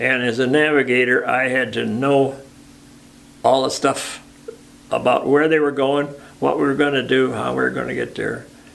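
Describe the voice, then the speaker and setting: A man with an American accent speaks with long, frequent pauses. Noticeable background noise is present. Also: moderate pace. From Michigan. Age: 90s; old. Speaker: war veteran. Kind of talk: interview answer.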